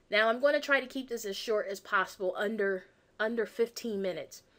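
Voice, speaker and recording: Fairly quick speech from a woman with ordinary pitch variation, on a very clean recording with a silent background. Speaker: weight loss coach. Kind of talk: sales pitch. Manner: fast; animated.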